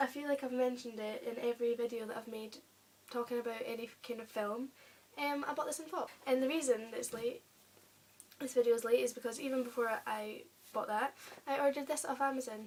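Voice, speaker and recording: Over noticeable background noise, a woman with an English accent talks at a fairly quick pace in a high pitch, her intonation fairly even. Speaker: YouTuber. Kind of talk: casual vlog. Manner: hesitant; soft-spoken.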